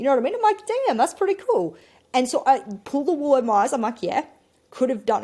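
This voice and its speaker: In an Australian accent, a woman speaks at a high pitch with an animated tone. Her pitch swings very widely. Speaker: esports caster and content creator. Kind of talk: casual podcast chat.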